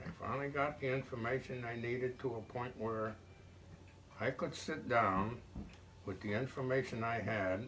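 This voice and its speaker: Noticeable background noise is present. A man talks over it at a medium pitch. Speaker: war veteran. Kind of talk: interview answer.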